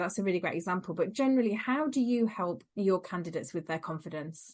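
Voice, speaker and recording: Speaking at a fairly quick pace, a woman with an East Midlands accent lets her pitch swing very widely. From rural Lincolnshire, England. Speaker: confidence coach and podcast host. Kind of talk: casual interview chat.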